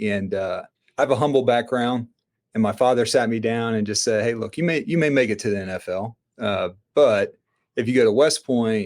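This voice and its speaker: With a Southern accent, a man talks fairly quickly at a medium pitch, his pitch varying in an ordinary way. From US South, Florida panhandle. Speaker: entrepreneur and army veteran. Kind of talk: podcast interview. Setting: remote, own studio setup.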